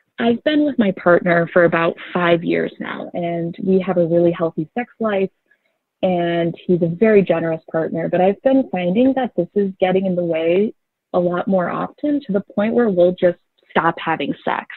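At a moderate pace, a woman talks in an ordinary speaking voice at a fairly low pitch. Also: ordinary pitch variation. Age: 20s. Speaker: caller. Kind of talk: call-in question.

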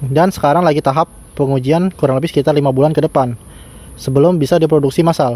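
Here a man talks at a very fast pace with a fairly high pitch and a dark, mellow tone. His intonation is fairly even and his loudness very even. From Indonesia. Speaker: DIY electronics YouTuber. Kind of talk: tutorial. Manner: casual, filler-heavy. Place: garden.

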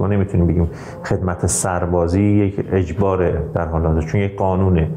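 With audible room echo and light background noise, a man talks at a fairly quick pace with fairly even intonation. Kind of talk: interview answer. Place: office.

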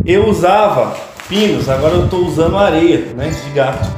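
Clear music plays in the background as a man speaks at a moderate pace with ordinary pitch variation, his voice carrying audible room echo. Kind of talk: casual tutorial. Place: home room. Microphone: camera far.

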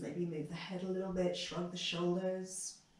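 A woman speaks in a calm, soothing tone. Audible room echo surrounds her voice. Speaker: yoga teacher. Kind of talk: guided yoga class, instructing poses and breathing. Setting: home video practice during pandemic isolation. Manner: calm, slow, soothing cueing; somewhat halting with repeated words. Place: home room. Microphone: camera far.

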